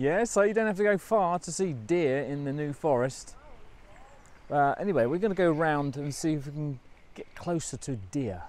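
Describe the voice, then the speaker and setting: He has a plain, everyday voice, fairly high for a man. His intonation is lively and his pace moderate. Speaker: motorhome vlogger. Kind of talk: casual vlog narration. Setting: outdoors.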